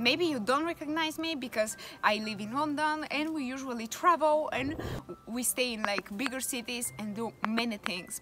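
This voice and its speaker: A woman speaks at a moderate pace in a high voice with ordinary pitch variation. Faint music plays behind her. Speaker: travel vlogger. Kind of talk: casual vlog chat. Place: garden. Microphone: phone near.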